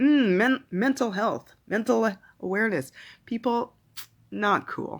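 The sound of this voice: The delivery is slow, with ordinary pitch variation.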